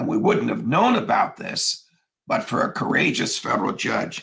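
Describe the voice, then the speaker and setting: In a put-on character voice, a man sounds hoarse and raspy at a moderate pace. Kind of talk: formal, legal, political speech.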